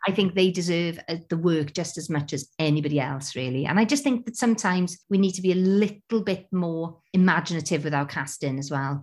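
A woman with a Welsh accent talks at a fairly quick pace with lively intonation, in a very clean recording with a silent background. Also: hardly any pauses. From Wales. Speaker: theatre artistic director. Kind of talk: casual interview. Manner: halting.

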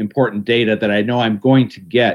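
A man with an American accent speaks at medium pitch with ordinary pitch variation. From Ohio, Cleveland area. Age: 60s. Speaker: garden writer and radio host. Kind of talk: casual interview.

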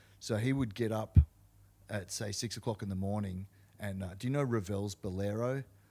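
A man with an Australian accent, fairly low pitch, a dark, mellow tone, fairly even intonation, and a moderate pace. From Australia, Canberra. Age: 40s. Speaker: hardcore punk musician. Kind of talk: casual chat.

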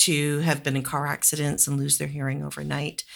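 A woman speaks in a very deep, low voice. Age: 50s. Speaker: retired professor of audiology and neuroscience. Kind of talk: interview.

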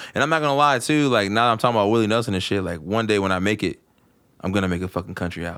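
A man with a fairly low pitch talks very fast, with ordinary pitch variation. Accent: American. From West Virginia (eastern panhandle). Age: 20s. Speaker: hip-hop artist. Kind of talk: casual chat.

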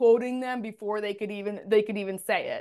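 A woman speaks loudly in an animated tone at a moderate pace. The background is quiet. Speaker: communication consultant. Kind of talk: casual interview chat. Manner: loud, animated hand talker.

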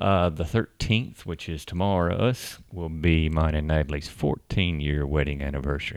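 Over a silent background in a very clean recording, a man with a Southern US accent speaks at a fairly quick pace, his very deep, low pitch moving with ordinary variation. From Tennessee, US South. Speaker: podcast host, expat. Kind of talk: casual chat, podcast conversation.

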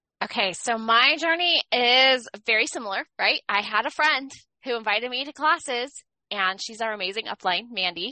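Lively in intonation, a woman speaks with a high pitch at a moderate pace. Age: middle-aged. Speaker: podcast co-host, essential oil educator. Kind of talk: casual chat.

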